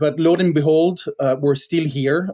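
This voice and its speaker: A man with a Belgian accent speaks at a moderate pace. His tone is dark and mellow, with fairly even intonation. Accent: Belgian accent, noticeable. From Belgium. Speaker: tech startup founder. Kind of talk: podcast interview. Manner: hesitant, many fillers.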